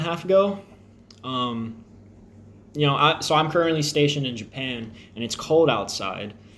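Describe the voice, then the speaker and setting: In an American accent, the speaker talks at a moderate pace with audible room echo. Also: man. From Texas (Crosby, near Houston). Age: 20s. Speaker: air force service member vlogging about diabetes. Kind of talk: personal vlog. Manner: casual, with frequent fillers.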